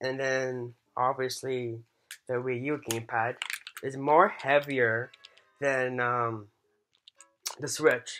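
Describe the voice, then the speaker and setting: The pace is very slow. Long pauses come often. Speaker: YouTuber. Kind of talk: product comparison vlog. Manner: halting, many fillers; enthusiastic at the end.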